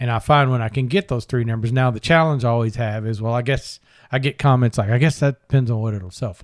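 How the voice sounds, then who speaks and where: Recorded with a dry, close sound and no echo, a man talks at a very fast pace with ordinary pitch variation. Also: medium pitch for a man, very clean recording, silent background. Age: 50s. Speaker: podcast host, business broker. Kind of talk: interview.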